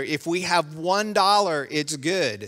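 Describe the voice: Fairly bright in tone, a man speaks at a fairly high pitch with ordinary pitch variation.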